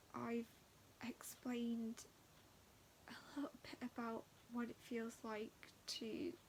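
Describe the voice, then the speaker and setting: Speaking with a British accent, a woman has a fairly high pitch. Her pace is very slow. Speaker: chronic illness vlogger. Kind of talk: casual talk to camera.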